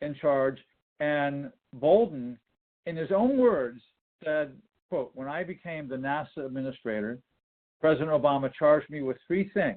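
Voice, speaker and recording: This man has an American accent and a fairly high pitch. He talks at a moderate pace with lively intonation. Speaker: author and speaker. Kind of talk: lecture.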